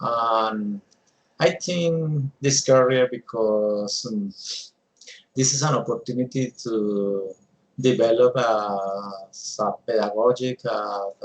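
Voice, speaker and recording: At a very slow pace, a man with a Colombian accent talks at medium pitch with ordinary pitch variation. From Colombia, Bogota. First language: Spanish. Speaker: English language student. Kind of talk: mock speaking exam. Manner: halting, many fillers.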